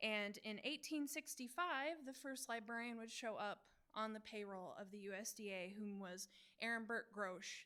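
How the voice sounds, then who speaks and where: At a moderate pace, a woman mumbles in a fairly high, bright and sharp voice with lively intonation. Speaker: Wikipedian in residence at a library. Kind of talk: presentation talk on library history. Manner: self-described mumbling.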